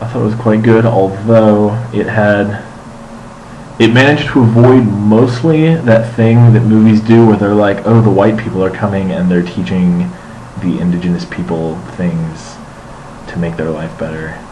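A man with an unremarkable speaking voice, fairly low in pitch, with ordinary pitch variation at a moderate pace and light background noise. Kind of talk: casual vlog chat. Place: home room. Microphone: webcam.

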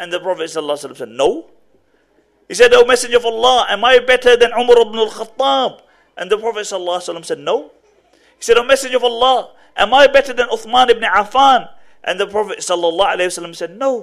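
A man speaks at a fairly quick pace with an extremely high pitch and ordinary pitch variation. His loudness swings widely over a quiet background. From England, Birmingham; England. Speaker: Islamic preacher. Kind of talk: lecture. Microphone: podium.

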